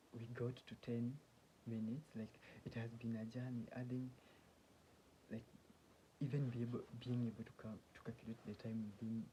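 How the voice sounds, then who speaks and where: A man speaks at a moderate pace and medium pitch with a dark, mellow, somewhat breathy tone. His delivery is monotone and flat, broken by long, frequent pauses. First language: not English (English is third language). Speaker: self-help vlogger. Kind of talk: casual monologue. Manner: halting, many restarts.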